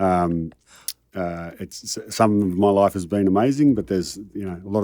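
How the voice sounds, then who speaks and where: A man speaks with a dark, mellow tone at a fairly low pitch. His intonation is fairly even. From Australia, Melbourne suburbs. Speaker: high-performance coach. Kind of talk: interview conversation. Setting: studio.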